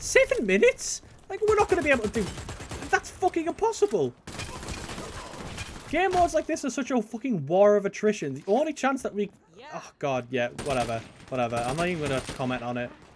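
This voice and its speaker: Over noticeable background noise, a man with a northern English accent talks at a fairly quick pace, his high voice making very wide pitch swings. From northern England. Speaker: gaming YouTuber. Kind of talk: gameplay commentary. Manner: casual, halting with many fillers.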